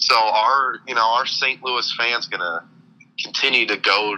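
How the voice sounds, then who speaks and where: A man with an American accent, a fairly low pitch, and a bright, sharp tone. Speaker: sports fan guest. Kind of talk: casual chat. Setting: phone call. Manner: halting. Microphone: on speakerphone.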